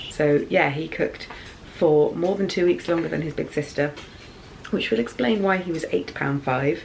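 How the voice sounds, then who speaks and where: A woman speaks with an English accent in a very deep, low voice. Her pace is moderate and her pitch varies in an ordinary way. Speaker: YouTuber, mother. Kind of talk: casual vlog. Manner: soft-spoken.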